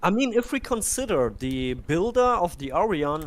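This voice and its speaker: Very wide swings run through this man's pitch. He talks at a moderate speed. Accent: German. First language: German. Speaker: game streamer. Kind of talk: casual chat; live commentary. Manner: animated.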